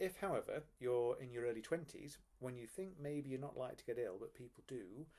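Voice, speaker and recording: At a fairly quick pace, a man speaks at medium pitch with ordinary pitch variation. His tone is dark and mellow. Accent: English. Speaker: financial advisor. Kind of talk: explainer video. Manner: fast; casual, with filler ums.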